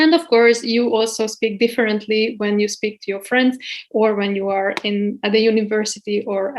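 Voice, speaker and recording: In a Hungarian accent, a woman speaks with fairly even intonation. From Hungary. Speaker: guest lecturer. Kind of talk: lecture. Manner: hesitant, many fillers.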